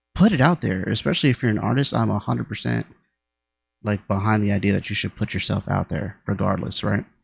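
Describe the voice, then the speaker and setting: A man with a fairly low pitch and vocal fry speaks at a fairly quick pace with very wide pitch swings, the sound dry and close with no echo. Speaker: music reaction youtuber. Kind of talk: casual reaction commentary. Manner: halting, self-correcting.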